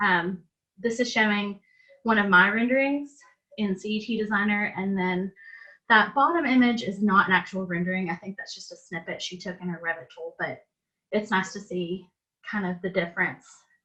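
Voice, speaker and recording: Her Southern US accent comes through in a bright, sharp tone, and her loudness swings widely. The woman's pitch is medium with ordinary variation, her pace moderate. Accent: Southern US (Georgia). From US South, south Georgia. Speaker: interior designer presenting. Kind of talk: presentation / webinar talk.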